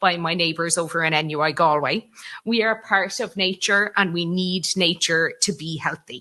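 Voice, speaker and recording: A woman in a West Cork accent, bright and sharp in tone, with lively intonation at a moderate pace against a quiet background. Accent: West Cork Irish. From Ireland, West Cork. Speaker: conference speaker, mental health walking programme coordinator. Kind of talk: conference presentation.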